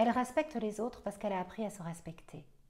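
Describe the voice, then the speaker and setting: A woman speaks at a medium pitch with a Belgian accent. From Belgium. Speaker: astrologer. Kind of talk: astrology forecast monologue. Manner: hesitant, many fillers.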